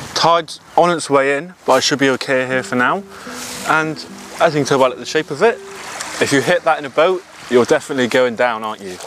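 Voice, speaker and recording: A man's lively intonation, dry sound with no echo, and light background noise. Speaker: photographer vlogger. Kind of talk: casual vlog chat. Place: beach.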